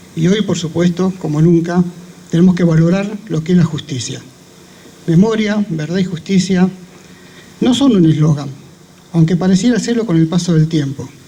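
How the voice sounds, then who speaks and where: At a moderate pace with long, frequent pauses, a man speaks at a high pitch over noticeable background noise. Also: ordinary pitch variation. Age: 70s. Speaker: speaker at a memorial event, survivor of dictatorship. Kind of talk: commemorative speech. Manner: formal.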